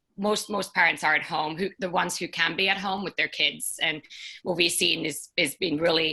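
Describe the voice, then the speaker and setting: This woman has a fairly low pitch and a Finnish accent. Her tone is bright and sharp. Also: fairly even intonation, moderate pace. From Finland. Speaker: startup co-founder. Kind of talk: panel discussion.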